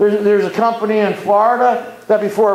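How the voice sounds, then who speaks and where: Over noticeable background noise and audible room echo, a man speaks at a fairly quick pace. His pitch is high and his intonation monotone and flat. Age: 60s. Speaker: community activist. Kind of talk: public talk. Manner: impassioned.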